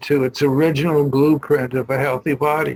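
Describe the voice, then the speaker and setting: In a dry, close recording with no echo, a man speaks fairly slowly at a fairly high pitch, somewhat breathy and in a monotone, flat intonation. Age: 80s+. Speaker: EFT practitioner and poet. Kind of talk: casual presentation. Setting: video call. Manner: halting.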